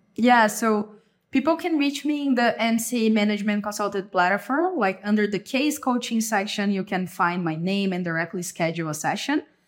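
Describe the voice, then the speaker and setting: A woman with a Brazilian accent speaks at a moderate pace with hardly any pauses, her fairly high pitch carried by lively intonation. The recording is very clean, with a silent background. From Brazil, São Paulo state countryside. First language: Portuguese. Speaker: case coach, former management consultant. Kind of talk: interview.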